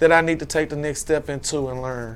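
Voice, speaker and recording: At a fairly quick pace, a man with an American accent speaks in an ordinary speaking voice at a fairly high pitch. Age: 40s. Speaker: fashion entrepreneur. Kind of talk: casual interview.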